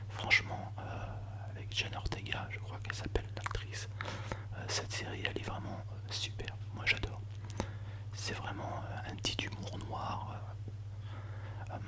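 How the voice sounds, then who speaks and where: A soft-spoken man whispers at a fairly slow pace with long, frequent pauses. Noticeable background noise is present. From Paris, France. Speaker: ASMR creator. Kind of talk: ASMR soft-spoken chat about favorite TV series. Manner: whispered, soft-spoken, close to the microphone.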